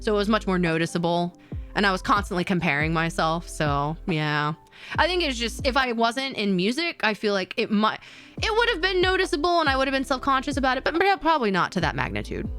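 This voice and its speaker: Over noticeable background noise, a woman talks at a very fast pace in a fairly high pitch, with very wide pitch swings and very even loudness. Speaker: vtuber streamer. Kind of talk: casual chat. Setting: live stream. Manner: halting, many fillers and repeats.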